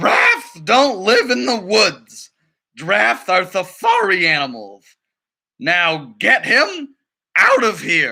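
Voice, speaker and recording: Using a put-on character voice, a man talks at a fairly slow pace with a high pitch. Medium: read story. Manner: bossy, exasperated.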